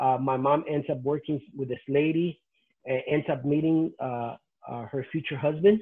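A man with a Spanish accent, fairly high in pitch, his intonation fairly even against a quiet background. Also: moderate pace. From Nicaragua. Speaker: pastor; interviewee. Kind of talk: testimony. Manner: halting. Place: home room. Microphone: video call.

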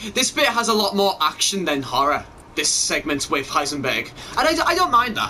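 Very wide pitch swings come through in a voice with an English accent, set against noticeable background noise. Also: man. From England. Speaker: gaming YouTuber. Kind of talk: let's play commentary. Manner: animated.

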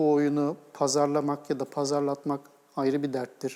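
A man with a normal speaking voice, fairly high pitch, and moderate pace. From Istanbul, Turkey. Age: 40s. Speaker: game studio co-founder and executive. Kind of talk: TV interview.

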